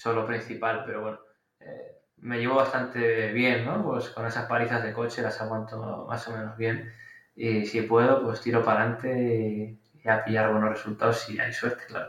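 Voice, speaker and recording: A man talks at a moderate pace and medium pitch. His intonation is flat and monotone. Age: 30s. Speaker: storm photographer. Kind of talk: interview podcast. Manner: hesitant, with fillers.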